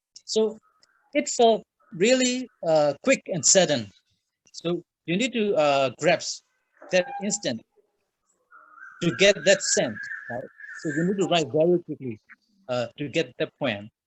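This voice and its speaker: A man talks in a high pitch with very wide pitch swings. He moves at a fairly slow pace and leaves long, frequent pauses. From Myanmar. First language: Burmese. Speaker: writer. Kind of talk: interview. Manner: halting.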